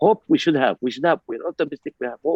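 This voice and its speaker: A man with an Arabic accent speaks in a dry, close sound with no echo. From Palestine. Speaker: ambassador. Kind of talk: panel discussion. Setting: video call. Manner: animated.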